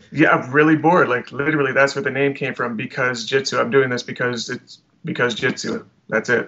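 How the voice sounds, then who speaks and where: A man with a western Canadian accent, at a fairly quick pace with ordinary pitch variation. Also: medium pitch for a man. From Alberta, Canada. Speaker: meme creator. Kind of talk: casual chat.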